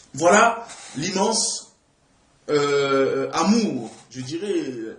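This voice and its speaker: Audible echo fills the room. The delivery is very slow. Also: man. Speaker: preacher. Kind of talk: sermon. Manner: halting.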